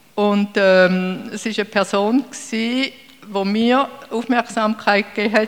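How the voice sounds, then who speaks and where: Amid noticeable background noise, a woman speaks at a fairly slow pace with fairly even intonation. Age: 60s. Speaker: church member. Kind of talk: testimony.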